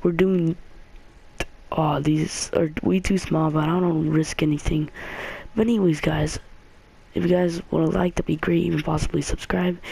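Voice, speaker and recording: Moderate pace with long, frequent pauses, over noticeable background noise. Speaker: gaming YouTuber. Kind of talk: gameplay commentary. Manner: halting; quieter than usual.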